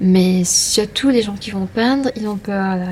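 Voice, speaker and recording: Noticeable background noise sits behind a soft-spoken woman who talks at a fairly slow pace, her medium pitch showing ordinary variation. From Mauritius. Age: 30s. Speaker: street artist. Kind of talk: interview. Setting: hotel room. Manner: halting with fillers.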